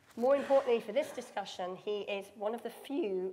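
With a British accent and a dark, mellow tone, a woman speaks at a moderate pace against light background noise. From United Kingdom. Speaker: panel chair and biotech executive. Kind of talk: panel discussion. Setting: stage with audience. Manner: halting. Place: hall.

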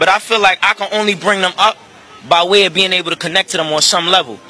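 Over light background noise, a man speaks in a raised, projected voice, and the sound is dry with no echo. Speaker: interviewee. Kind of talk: interview question, animated argument. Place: street. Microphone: handheld.

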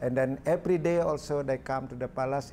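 Light background noise behind a man with a Balinese accent, a dark, mellow tone, fairly even intonation and a moderate pace. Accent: Balinese Indonesian. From Indonesia. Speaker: artist. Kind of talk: talk; interview answer. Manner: halting. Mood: warm, smiling. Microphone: lapel.

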